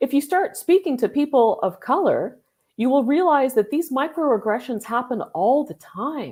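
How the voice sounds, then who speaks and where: Over a silent background on a very clean recording, a woman with a Canadian accent speaks at a moderate pace in a high pitch, with a dark, mellow tone and lively intonation. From Canada. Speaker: business founder. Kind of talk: podcast conversation. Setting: live video podcast.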